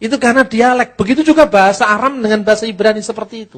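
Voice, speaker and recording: A man with a Javanese accent. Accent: Javanese-accented Indonesian. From Java, Indonesia. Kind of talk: lecture. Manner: conversational, with rhetorical questions.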